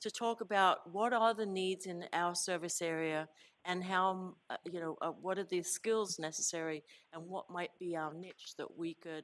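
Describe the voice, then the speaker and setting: A woman with an English accent and a fairly low pitch, at a moderate pace, on a very clean recording with a silent background. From England. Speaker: college president. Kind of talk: board meeting report.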